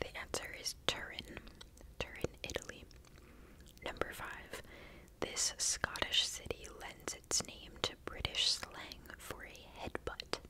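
A soft-spoken woman talks at a very slow pace. Loud background noise surrounds her. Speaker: quiz host. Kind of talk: reading trivia questions with casual comments. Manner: soft close-mic ASMR voice. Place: home room. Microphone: studio mic.

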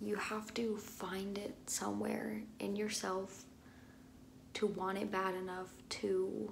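Light noise sits in the background. The woman talks very slowly. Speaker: vlogger. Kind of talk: casual vlog chat. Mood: earnest, personal, somewhat emotional. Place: bathroom. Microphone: phone near.

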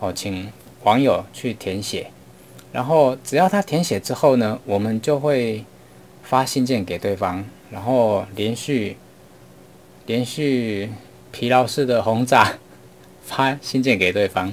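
Over light background noise, a man speaks at a very slow pace with ordinary pitch variation and long, frequent pauses. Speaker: online marketing teacher. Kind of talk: lecture. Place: home room.

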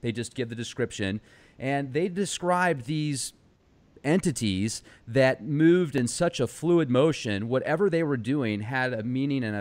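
A man with a plain, everyday voice talks at a medium pitch and a moderate pace, using lively intonation. The recording is very clean, with a silent background. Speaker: podcast host. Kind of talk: interview. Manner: casual, laughs often.

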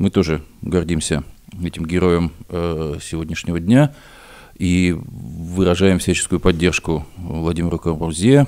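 With a dark, mellow tone, the voice moves at a fairly slow pace and shows ordinary pitch variation. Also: man, very deep, low pitch for a man. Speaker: historian and radio co-host. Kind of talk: radio news commentary. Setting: studio. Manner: halting, with filler sounds.

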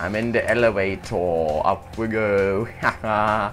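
Music plays in the background as a man talks. His fairly low voice has ordinary pitch variation. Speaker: gamer. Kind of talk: live video game commentary. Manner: casual, profane, joking.

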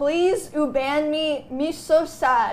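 A woman puts on a whiny character voice pitched high, with light background noise behind her. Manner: mock crying, whiny, pleading.

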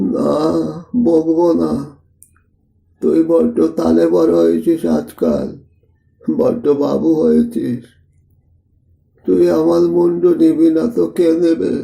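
A man performs a put-on character voice with a rumbling sound. He speaks at a fairly slow pace and keeps his loudness very even. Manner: scolding, grumbling.

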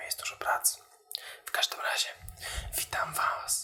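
Over noticeable background noise, a man whispers. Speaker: social media video creator for the beauty industry. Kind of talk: casual ASMR-style talk to camera about marketing. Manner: soft, whispery, conversational.

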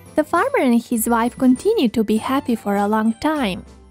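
Faint music plays in the background as a woman speaks at a high pitch and a fairly slow pace. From Serbia. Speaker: voice-over artist. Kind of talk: children's story narration. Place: studio.

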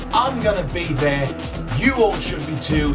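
Clear music plays behind a man as he speaks. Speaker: wrestling ring announcer. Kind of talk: wrestling event promo. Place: home room. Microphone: phone near.

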